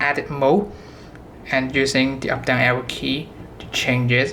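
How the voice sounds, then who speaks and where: At a fairly unhurried speed, the speaker talks with a non-native accent. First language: not English. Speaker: product demonstrator for a synth maker. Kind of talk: product tutorial demo. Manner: halting, self-correcting.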